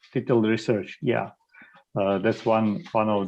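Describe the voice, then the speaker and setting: A man speaks with a Croatian accent at a fairly slow pace. His pitch is medium. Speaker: e-learning expert. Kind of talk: panel discussion. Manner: halting, many fillers.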